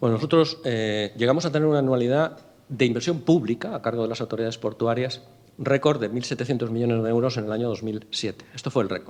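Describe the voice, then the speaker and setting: Speaking at a very fast pace, the man keeps a medium pitch. Its variation is ordinary. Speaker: port authority president. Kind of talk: interview at a business breakfast. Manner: stumbles over words.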